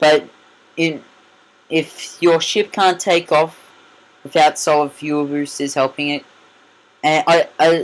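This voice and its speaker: The speaker has an Australian accent and talks at a fairly slow pace. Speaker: gaming youtuber. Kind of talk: gameplay commentary. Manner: loud; halting.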